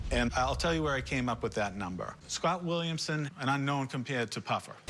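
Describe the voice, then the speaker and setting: Music plays behind a man speaking with a Boston accent. His fairly high voice moves at a fairly quick pace with lively intonation. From Massachusetts. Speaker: seller in a pawn shop. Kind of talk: sales negotiation.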